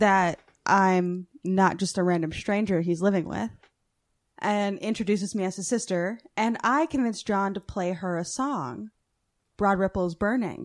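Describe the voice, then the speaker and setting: A woman with a plain, everyday voice and ordinary pitch variation is heard on a very clean recording over a silent background. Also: medium pitch for a woman. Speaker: guest co-host. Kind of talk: casual banter. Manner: teasing, joking, profane.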